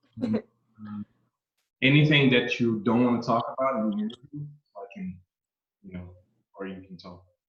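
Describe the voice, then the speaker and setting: A man with a Brazilian Portuguese accent speaks with ordinary pitch variation, big swings in loudness and long, frequent pauses. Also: medium pitch for a man, moderate pace. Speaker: horror channel host. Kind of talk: interview. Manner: halting, non-native English.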